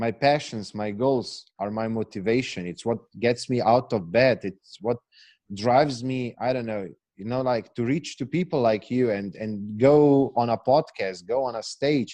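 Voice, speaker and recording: A man with an Eastern European accent speaks fairly slowly at a medium pitch, with ordinary pitch variation. His tone is dark and mellow against a quiet background. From Slovenia. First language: Slovenian. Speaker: failure coach, entrepreneur. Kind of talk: podcast interview. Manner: halting, repeats words.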